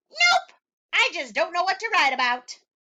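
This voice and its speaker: A woman's put-on character voice, squeaky and extremely high in pitch, at a moderate pace. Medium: read story. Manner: boastful, cheeky.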